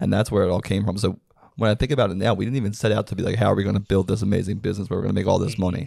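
A man races along at a very fast pace, his fairly low pitch carrying a dark, mellow tone and fairly even intonation. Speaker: podcast co-host and business founder. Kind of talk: casual podcast conversation.

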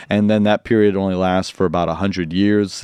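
Over a quiet background, a man with a US Midwestern accent speaks at a fairly quick pace with monotone, flat intonation. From US Midwest, Quad Cities. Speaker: pastor and Bible teacher. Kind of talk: casual interview with teaching.

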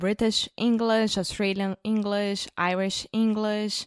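In a very clean recording with a silent background and a dry, close sound with no echo, a woman with a Brazilian accent speaks at a medium pitch. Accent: mild Brazilian Portuguese-accented English. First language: Portuguese. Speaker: co-presenter of English-learning podcast. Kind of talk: casual chat.

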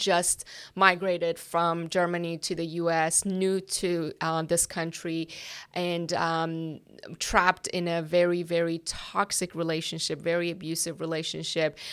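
A woman speaks with a slight Persian accent at a fairly low pitch, slowly and in a flat monotone. The recording is very clean with a silent background. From Iran. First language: Persian (Farsi). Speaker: ministry worker. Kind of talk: interview. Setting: office.

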